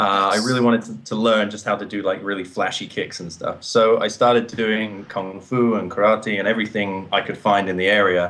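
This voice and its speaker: A man with an English accent speaks at a fairly quick pace in a fairly low pitch, his intonation monotone and flat, with hardly any pauses. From England, coastal town. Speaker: actor and martial artist. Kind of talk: interview.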